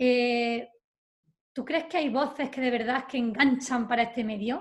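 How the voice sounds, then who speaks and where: A high-pitched woman at a fairly slow pace, with fairly even intonation. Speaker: interviewer. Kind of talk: interview.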